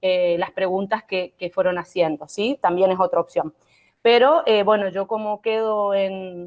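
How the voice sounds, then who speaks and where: The woman's pitch is medium. It varies in an ordinary way. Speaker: law professor. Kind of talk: online lecture. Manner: fast.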